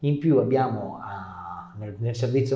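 A man speaks at a moderate pace with ordinary pitch variation. Room echo can be heard. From northern Italy, Canavese (Piedmont); Piedmont, Italy. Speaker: regional councillor. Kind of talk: interview. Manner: halting, repeats words. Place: studio. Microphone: lapel.

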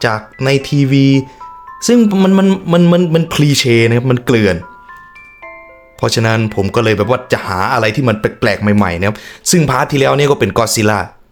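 Background music is audible. The speaker's intonation sounds lively. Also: man. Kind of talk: casual reaction commentary to camera. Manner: casual, joking.

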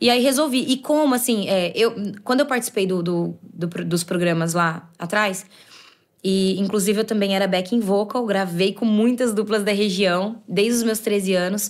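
Moderate pace, ordinary pitch variation and very even loudness over a quiet background. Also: woman. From Limeira, São Paulo state, Brazil; São Paulo State, Brazil. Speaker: sertanejo singer; guest. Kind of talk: casual chat. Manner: halting. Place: studio. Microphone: studio mic.

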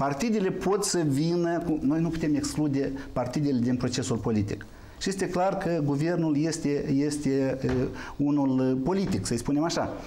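A man talks at a moderate pace with light background noise. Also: ordinary pitch variation. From Moldova. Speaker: member of parliament; guest. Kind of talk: political talk show debate. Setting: TV studio. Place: studio.

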